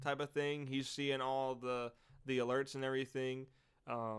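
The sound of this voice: An unforced reading voice is heard.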